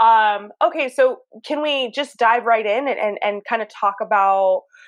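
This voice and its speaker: In an American accent, a woman talks at a medium pitch and a moderate pace over a quiet background. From Southern California. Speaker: podcast host. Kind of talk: casual interview chat. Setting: phone or video call. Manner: animated, expressive.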